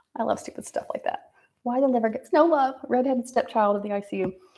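Against a quiet background, a woman is talking. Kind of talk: casual livestream monologue. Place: bathroom. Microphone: phone near.

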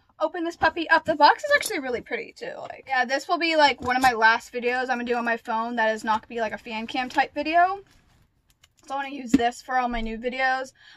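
A high-pitched woman at a very fast pace, with ordinary pitch variation and light background noise. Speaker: vlogger. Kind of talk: casual vlog chat. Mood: excited. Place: home room. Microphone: phone near.

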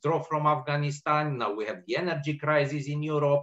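A man with a Romanian accent speaks against a quiet background. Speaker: policy analyst. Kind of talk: panel discussion. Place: home room.

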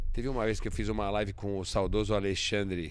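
The recording is dry with no echo, and a man speaks in a fairly low voice. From Brazil. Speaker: automotive show host. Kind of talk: casual chat. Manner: animated. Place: studio. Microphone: studio mic.

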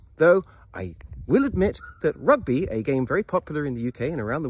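In a British accent, a somewhat breathy man talks at a very fast pace with very wide pitch swings, in a dry sound with no echo. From England. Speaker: YouTuber. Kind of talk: comedic monologue to camera. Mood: playful, humorous. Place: open country. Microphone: phone near.

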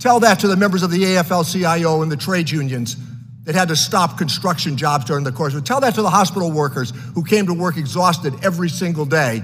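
A man's high voice, its pitch varying in an ordinary way. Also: fairly quick pace. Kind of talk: formal hearing statement. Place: hall. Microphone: podium.

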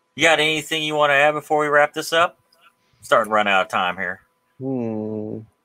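Here a man speaks at a fairly quick pace with lively intonation. His tone is bright and sharp against a quiet background. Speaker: podcast host. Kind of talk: casual chat. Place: home room. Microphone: studio mic.

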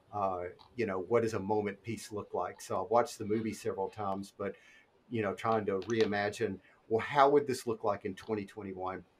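Against light background noise, a man speaks at a moderate pace with fairly even intonation. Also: fairly low pitch for a man. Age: 40s. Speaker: illustrator; podcast guest. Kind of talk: casual chat; interview answer. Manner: hesitant, many fillers. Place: home room. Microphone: video call.

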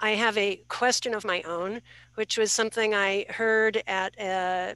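A woman's bright, sharp tone at a very slow pace, with fairly even intonation and a dry sound with no echo. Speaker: participant asking question. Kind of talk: panel discussion question. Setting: video call. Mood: earnest, somewhat hesitant. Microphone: video call.

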